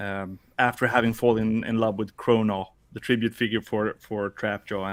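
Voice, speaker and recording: A man with a Swedish accent, medium in pitch and fairly even in intonation, on a very clean recording with a silent background. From Sweden. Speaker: podcast co-host and toy customizer. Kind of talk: casual chat.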